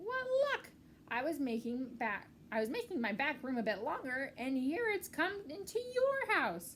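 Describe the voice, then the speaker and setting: A woman's put-on character voice, high in pitch and at a moderate pace, with clear background noise. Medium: read story. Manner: chatty, oblivious.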